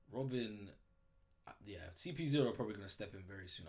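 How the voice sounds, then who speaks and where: Talking at a very fast pace with lively intonation, a man sounds animated and somewhat breathy, with audible room echo around him. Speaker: manga reaction youtuber. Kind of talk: casual reaction commentary.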